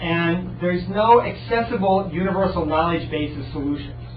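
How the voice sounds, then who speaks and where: A man talks, his voice carrying noticeable room echo over a fair amount of background noise. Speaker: research talk speaker. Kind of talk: lecture. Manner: fast.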